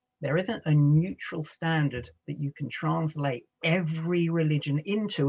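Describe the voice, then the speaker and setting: This is a man with an American accent. His pitch varies in an ordinary way. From England, London. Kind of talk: lecture. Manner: conversational, with filler words.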